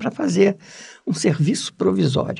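A man's voice with vocal fry at a moderate pace. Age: old. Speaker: writer and diplomat. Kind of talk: interview. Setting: studio. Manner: halting.

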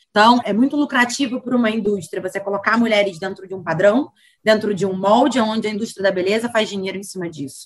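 Talking at a very fast pace, a woman sounds somewhat breathy, her medium pitch showing ordinary variation. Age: 30s. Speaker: director of a cultural institute. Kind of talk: interview.

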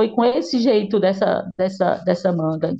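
A woman with a Ceará accent speaks at a medium pitch in a dark, mellow tone. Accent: Brazilian Northeastern (Cearense) Portuguese. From Ceará, Brazil. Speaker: journalist and author. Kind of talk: interview. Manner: halting, many repetitions and fillers.

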